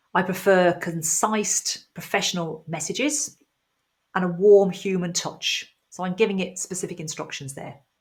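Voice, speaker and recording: A woman's medium-pitched, somewhat breathy voice with a British accent, moderate pace, ordinary pitch variation and big swings in loudness, on a very clean recording with a silent background. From UK. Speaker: IT trainer. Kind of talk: tutorial. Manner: clear, explanatory.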